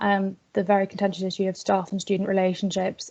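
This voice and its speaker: With a Northern Irish accent, a woman speaks fairly quickly at a medium pitch in a dark, mellow tone against a quiet background. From Northern Ireland. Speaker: student activist. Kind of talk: webinar presentation.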